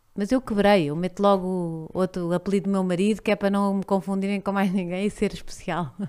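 Over a quiet background, a woman with a European Portuguese accent talks at a fairly quick pace with hardly any pauses, her medium-pitched voice fairly even in intonation. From Portugal. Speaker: podcast host; podcast guest. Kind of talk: casual chat. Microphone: studio mic.

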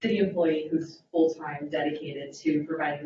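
Very deep, low pitch from a woman at a moderate pace, monotone and flat, with audible room echo. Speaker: deputy city attorney and prosecutor. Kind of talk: presentation to city council. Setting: city council meeting. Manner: loud.

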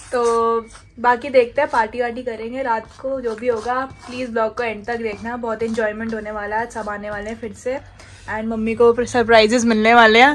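A woman's fairly high voice at a fairly slow pace, monotone and flat in intonation, with big swings in loudness. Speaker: vlogger. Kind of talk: casual vlog chat. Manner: soft-spoken. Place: home room. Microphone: phone near.

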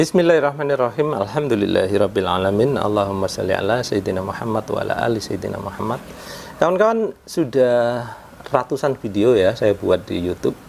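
A man talks with lively intonation at a medium pace while faint noise sits in the background. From Indonesia. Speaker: home repair YouTuber; home repair youtuber. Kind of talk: casual tutorial vlog. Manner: conversational, frequent filler 'ya'. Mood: calm, explaining a complaint. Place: home room. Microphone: lapel.

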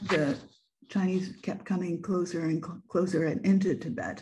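Over light background noise, a woman speaks in a dark, mellow tone that is somewhat breathy. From Japan, then US and UK. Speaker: photographer and author. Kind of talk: online presentation. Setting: video call. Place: home room. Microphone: webcam.

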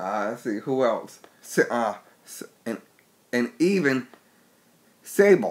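Here a man talks at a very slow pace in a medium pitch. His pitch swings very widely. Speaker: wrestling vlogger. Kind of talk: casual vlog monologue. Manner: halting, many repetitions.

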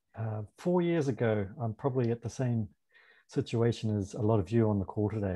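Somewhat breathy and dark, mellow in tone, a man with a New Zealand accent talks at a moderate pace and fairly low pitch over a quiet background. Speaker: food importer; panelist. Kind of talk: panel discussion. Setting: video call. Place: home room. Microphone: webcam.

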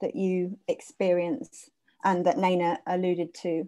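A woman's voice has a dark, mellow tone. The background is quiet. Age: 40s. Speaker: arts organisation co-director and event moderator; event moderator. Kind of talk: online event moderation. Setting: video call from her office. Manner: hesitant, many fillers. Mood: earnest, thoughtful. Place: home room. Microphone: earbuds.

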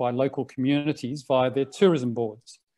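Against a quiet background, a man with an Australian accent speaks in a dark, mellow tone. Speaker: co-op incubator founder; webinar panelist. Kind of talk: online panel presentation. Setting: video call. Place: home room. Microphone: earbuds.

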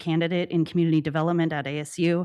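A woman with a fairly low pitch talks at a very fast pace. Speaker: public commenter, PhD candidate. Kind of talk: public comment at council meeting. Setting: city council meeting.

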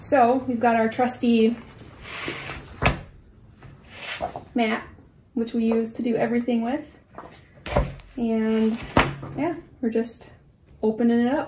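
A woman talks fairly slowly, leaving long, frequent pauses, with loud noise in the background. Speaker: vlogger. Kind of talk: casual vlog chat. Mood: cheerful, relaxed. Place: home room. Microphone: camera far.

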